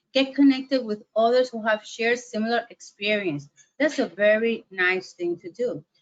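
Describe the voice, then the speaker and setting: A woman with a non-native accent speaks at a moderate pace. Her pitch is fairly high, with ordinary variation. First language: Spanish. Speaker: webinar presenter on mental health. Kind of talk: webinar lecture. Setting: online webinar. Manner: hesitant, many fillers.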